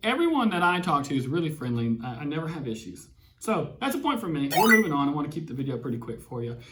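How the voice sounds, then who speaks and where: Very fast speech from a man with an American accent, fairly high in pitch with very wide pitch swings, in audible room echo. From Alabama (Huntsville). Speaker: mortgage lender and YouTuber. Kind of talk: casual chat. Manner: animated.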